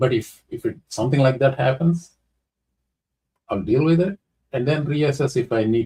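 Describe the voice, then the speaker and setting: A man's somewhat breathy voice at a medium pitch, with a dark, mellow tone, a fairly quick pace and a dry, close sound with no echo. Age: 60s. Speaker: YouTube commentator. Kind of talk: casual commentary, answering viewer question. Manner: code-switching Telugu and English; halting, many fillers.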